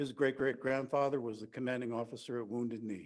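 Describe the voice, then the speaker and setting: Here a man speaks in a normal speaking voice with an American accent and medium pitch. His pace is fairly quick and his intonation fairly even. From US East Coast, New Jersey. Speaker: activist. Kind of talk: conference speech.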